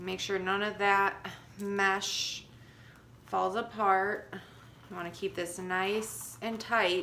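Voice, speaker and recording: Very slow speech in an American accent has long, frequent pauses and fairly even intonation, with audible room echo. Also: woman, medium pitch for a woman. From Chicago. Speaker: crafter. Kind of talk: tutorial. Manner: casual, hesitant with fillers.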